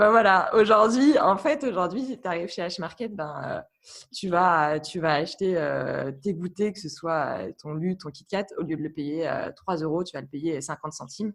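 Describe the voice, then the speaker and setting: A woman speaks at a fairly slow pace in a fairly low pitch with lively intonation. Her loudness swings widely. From France, Burgundy. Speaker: guest professional. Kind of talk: podcast interview. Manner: hesitant, many fillers.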